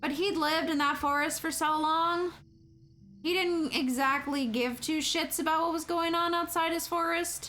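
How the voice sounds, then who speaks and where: A woman's raised, projected voice, extremely high-pitched with a bright, sharp tone, keeps fairly even intonation and very even loudness amid audible room echo. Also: moderate pace. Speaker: video game streamer. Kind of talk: casual chat.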